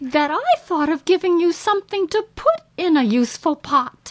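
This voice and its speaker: A woman puts on a squeaky character voice at an extremely high pitch. Her intonation is lively and her pace is moderate. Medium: read story.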